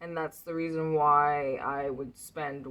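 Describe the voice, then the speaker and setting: Speaking at a very slow pace, a woman has a very deep, low-pitched voice. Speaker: vlogger. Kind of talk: casual vlog monologue. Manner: slow, unhurried; relaxed, laid-back.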